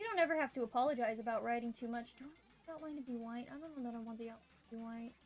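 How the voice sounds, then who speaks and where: Over noticeable background noise, a woman with a slight Southern US accent talks very fast in a high pitch, with ordinary pitch variation and big swings in loudness. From US South. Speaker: vtuber streamer. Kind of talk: casual livestream chat while drawing.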